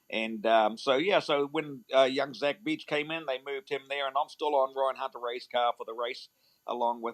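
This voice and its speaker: At a moderate pace, a man speaks at medium pitch with fairly even intonation. The sound is dry and close with no echo. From New Zealand. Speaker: motor racing team manager. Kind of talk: interview. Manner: hesitant with fillers.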